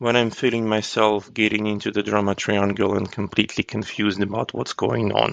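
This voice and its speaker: The speech runs at a fairly quick pace with hardly any pauses. Noticeable background noise sits behind it. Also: man, fairly low pitch for a man. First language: not English; English is his third language. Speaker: agile coach. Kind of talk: interview. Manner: halting.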